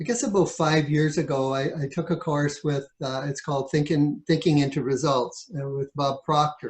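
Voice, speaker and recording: A man with a fairly high voice and a Canadian accent, somewhat breathy, at a moderate pace with hardly any pauses and fairly even intonation. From Ontario, Canada. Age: 60s. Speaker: author and realtor. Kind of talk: interview.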